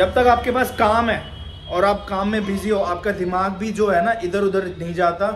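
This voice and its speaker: Clear music plays in the background as a man with a high pitch talks at a fairly slow pace with fairly even intonation. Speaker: gym owner vlogger. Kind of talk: casual vlog chat. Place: gym. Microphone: phone near.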